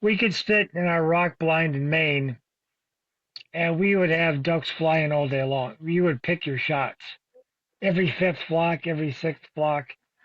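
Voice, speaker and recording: In an American accent, an ordinary speaking voice talks at a fairly slow pace with fairly even intonation. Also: man, fairly high pitch for a man. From New England (Boston), later Minnesota. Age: 60s. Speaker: bird hunter and dog breeder, army veteran. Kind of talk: podcast interview.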